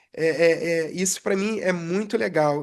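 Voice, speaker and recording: A woman is speaking. The background is quiet. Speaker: aircraft structures technician, podcast co-host. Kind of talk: casual chat.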